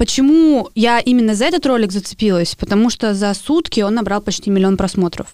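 A woman talks at a fairly quick pace with very wide pitch swings on a very clean recording with a silent background. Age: 20s. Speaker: podcast co-host, artist and blogger. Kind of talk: casual chat.

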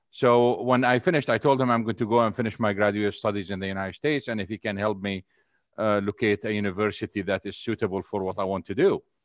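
With an Arabic accent, a man talks at a very fast pace in a fairly low pitch, his intonation fairly even, the sound dry and close with no echo against a quiet background. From Syria and Saudi Arabia. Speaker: energy economist. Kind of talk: interview.

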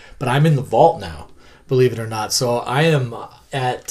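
Speech moves at a moderate pace. There is some breathiness in the voice. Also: man. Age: 40s. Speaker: podcast host and comic creator. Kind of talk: casual interview chat. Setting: in the guest's collection room.

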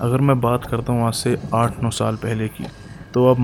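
The man's voice sits at medium pitch with monotone, flat intonation. Noticeable background noise runs beneath it. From Haryana, Gurgaon district (Sohna). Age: 20s. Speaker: podcaster. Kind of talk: storytelling.

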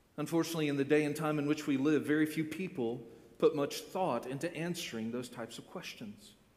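A man talks at a very fast pace with big swings in loudness. Room echo is audible. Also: fairly high pitch for a man, ordinary pitch variation. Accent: American. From Florida, US. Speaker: pastor. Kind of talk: sermon.

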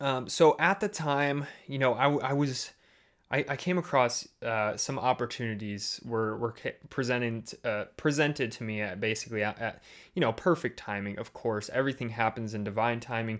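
A Midwestern American accent on a very clean recording with a silent background. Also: man, medium pitch for a man, ordinary pitch variation, moderate pace. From US Midwest, Chicago suburbs. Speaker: podcast host, business coach. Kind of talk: solo podcast monologue. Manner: halting, many fillers and repeated words.

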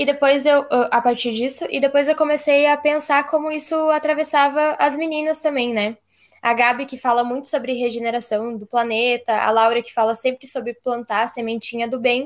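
At a moderate pace and with hardly any pauses, a woman speaks in a high pitch with fairly even intonation, recorded very cleanly against a silent background. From Rio Grande do Sul, Brazil. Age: 20s. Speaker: podcast host, agronomy student. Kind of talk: casual chat.

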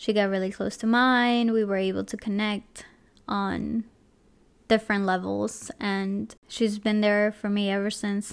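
On a very clean recording with a silent background, a woman speaks with a Spanish accent at medium pitch. Her delivery is fairly slow, with monotone, flat intonation. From Ecuador. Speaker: podcast host. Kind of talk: personal storytelling monologue.

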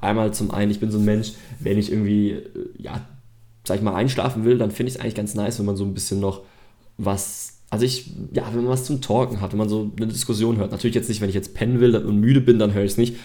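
Very fast and fairly even in intonation, a man talks at a fairly low pitch in a dark, mellow tone. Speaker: podcast host. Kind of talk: solo podcast monologue. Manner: unscripted, with many fillers.

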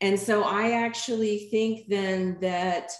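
Delivered at a very slow pace in a Southern US accent, the speech keeps a fairly even intonation. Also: woman. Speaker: yoga teacher. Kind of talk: interview conversation.

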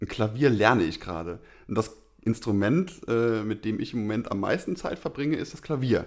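With a Rhineland accent, a man talks at a moderate pace in a medium pitch, his intonation lively. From Rhineland, western Germany. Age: 30s. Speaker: podcast co-host. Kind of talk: casual chat.

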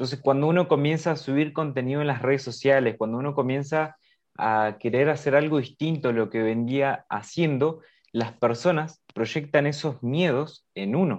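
A man's plain, everyday voice, fairly high, at a moderate pace with ordinary pitch variation, over a quiet background. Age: 20s. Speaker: podcast host. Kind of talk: casual interview.

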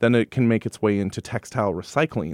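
A normal speaking voice at a fairly quick pace, with ordinary pitch variation, dry, close sound with no echo and a very clean recording over a silent background. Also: man. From Wisconsin, Madison. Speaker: thrift store retail director. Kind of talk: interview. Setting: studio.

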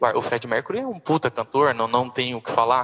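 The sound is dry and close with no echo as a man speaks at a moderate pace in a bright, sharp tone. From interior of Goiás, Brazil. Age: 20s. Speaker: dentist and singer. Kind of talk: casual interview.

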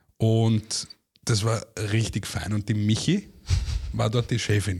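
A man talks with long, frequent pauses. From Austria, Vienna. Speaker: former TV and radio reporter, artist manager. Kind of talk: casual chat.

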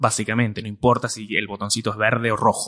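Against a quiet background, a man with a Rioplatense accent speaks very fast in a bright, sharp tone with fairly even intonation. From Argentina. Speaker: computer science teacher. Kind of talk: interview. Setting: university.

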